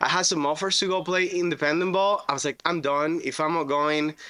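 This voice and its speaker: In a very clean recording with a silent background, a man with a Spanish accent talks at a fairly quick pace in a bright, sharp tone. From Venezuela. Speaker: roofing contractor. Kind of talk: podcast interview. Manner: casual, animated storytelling.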